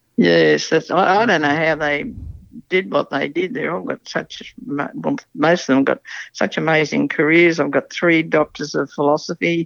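Against a quiet background, a woman with a very deep, low pitch and vocal fry speaks at a fairly slow pace with lively intonation. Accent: Australian. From rural New South Wales, Australia. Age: old. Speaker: city resident sharing life story. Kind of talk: casual interview.

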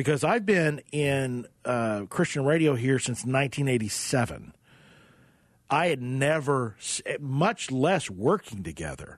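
An unremarkable speaking voice with an American accent moves at a fairly slow pace, its intonation lively against a quiet background. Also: man, medium pitch for a man. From Oklahoma (Tulsa). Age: 50s. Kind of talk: radio interview. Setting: studio.

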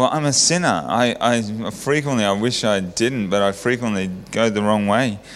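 In an Australian accent, the speaker keeps a moderate pace, very even loudness and hardly any pauses. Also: man, fairly low pitch for a man, ordinary pitch variation. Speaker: church member sharing testimony. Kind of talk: testimony. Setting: church.

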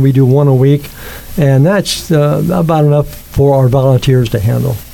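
An unremarkable speaking voice from a man, fairly high in pitch, with ordinary pitch variation and a moderate pace. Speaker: youth sports volunteer organizer. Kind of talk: interview.

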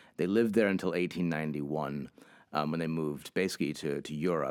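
A man with a New England accent, very deep and low, with vocal fry, a fairly quick pace and fairly even intonation. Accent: New England American. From Hartford, Connecticut. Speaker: museum education director. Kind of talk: interview.

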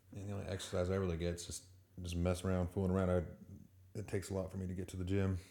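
Mumbling very fast, a man talks in a very deep, low voice with a dark, mellow tone and monotone, flat intonation. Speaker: co-host. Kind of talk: casual chat. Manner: mumbles.

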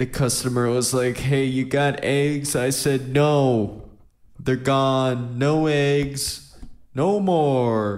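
A man at medium pitch and a very slow pace, with fairly even intonation, very even loudness, and audible room echo. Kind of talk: casual chat.

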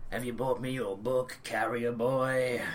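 A man's put-on character voice at medium pitch, fairly slow, over clear background noise.

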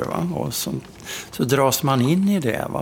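A man at a medium pitch with lively intonation, amid noticeable background noise. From Sweden, Karlstad (Värmland). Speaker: travel journalist. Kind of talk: interview.

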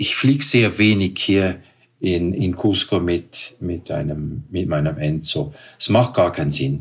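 Speaking at a very slow pace, a man with a very deep, low pitch sounds somewhat breathy and uses lively intonation. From Switzerland. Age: 60s. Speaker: paragliding pilot and hotel owner. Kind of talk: interview. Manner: halting.

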